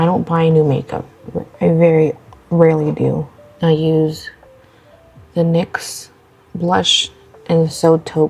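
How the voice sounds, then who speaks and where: A woman speaks quietly at a very slow pace, her pitch fairly low. Music plays in the background. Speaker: beauty vlogger. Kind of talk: casual get-ready-with-me chat. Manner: quiet, talking low.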